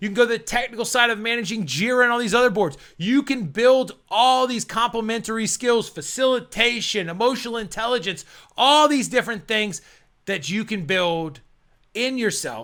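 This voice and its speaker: A man speaks loudly at a moderate pace, his pitch extremely high with ordinary variation. His tone is bright and sharp, and the recording is very clean with a silent background. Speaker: PMP exam coach. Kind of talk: motivational talk to camera. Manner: casual, filler words.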